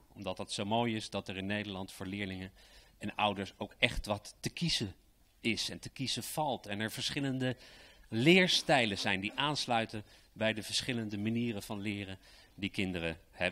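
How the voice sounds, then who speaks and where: This man's voice has a fairly low pitch and a bright, sharp tone, moving at a moderate pace with ordinary pitch variation. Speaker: state secretary for education; presenter. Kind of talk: formal speech. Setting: stage with audience. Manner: enthusiastic. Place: hall. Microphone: handheld.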